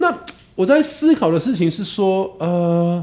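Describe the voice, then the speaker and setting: A man's high voice at a moderate pace, with very wide swings in pitch. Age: 40s. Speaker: podcast host. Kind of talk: casual chat.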